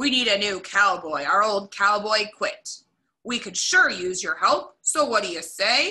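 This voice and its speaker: A growling put-on character voice at a moderate pace, with ordinary pitch variation. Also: woman, medium pitch for a woman. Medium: read story.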